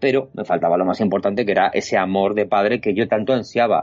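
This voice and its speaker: A man's very fast speech with lively intonation. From Spain, Alcalá de Henares (Madrid region). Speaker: illustrator and artist. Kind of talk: casual interview chat. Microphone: lag on the connection.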